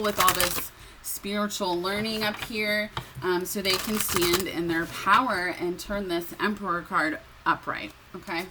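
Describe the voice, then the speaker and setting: A woman's medium-pitched voice, fairly slow and fairly even in intonation, over noticeable background noise. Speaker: tarot reader. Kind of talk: tarot reading monologue. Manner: hesitant, many fillers; shaky voice.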